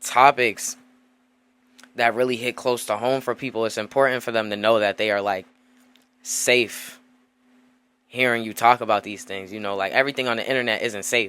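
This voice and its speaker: With a bright, sharp tone and medium pitch, a man speaks at a moderate pace with fairly even intonation and long, frequent pauses. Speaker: podcast host. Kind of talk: casual solo podcast monologue. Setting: home desk setup with mic.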